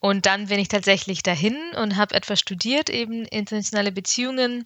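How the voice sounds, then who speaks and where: Speaking at a fairly quick pace, a woman uses ordinary pitch variation. Her voice sits at medium pitch. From Ukraine, then Bavaria (Augsburg area) from age 11. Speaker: consultant and social entrepreneur. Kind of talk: podcast interview. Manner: hesitant fillers (ähm, äh).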